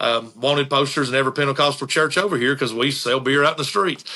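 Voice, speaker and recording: A man's fairly high voice in an Appalachian accent, with a bright, sharp tone. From Eastern Kentucky, Appalachia. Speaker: tourism director and band manager. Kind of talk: casual interview chat.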